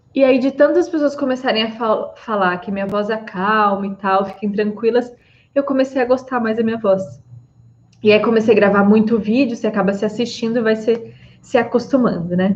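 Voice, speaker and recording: This woman's somewhat breathy voice sits at a fairly high pitch, moving at a moderate pace with ordinary pitch variation. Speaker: psychologist. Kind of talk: live stream talk. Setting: live stream on Instagram and YouTube.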